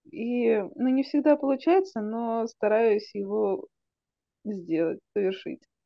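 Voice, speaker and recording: A woman speaks at a very slow pace with lively intonation. The sound is dry with no echo, and the background is quiet. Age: young. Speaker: medical student. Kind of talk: casual chat. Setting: video call. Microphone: video call.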